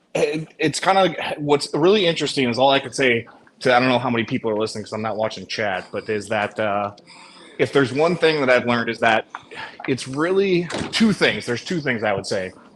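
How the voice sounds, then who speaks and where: Against noticeable background noise, someone with an American accent talks at a fairly quick pace with lively intonation. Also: man, medium pitch for a man. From USA. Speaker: US expat. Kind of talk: casual chat.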